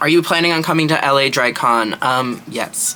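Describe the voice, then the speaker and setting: A quiet man speaks at a moderate pace with ordinary pitch variation against noticeable background noise. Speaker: drag performer and makeup artist. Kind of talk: makeup tutorial with Q&A chat. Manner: quiet, low-volume.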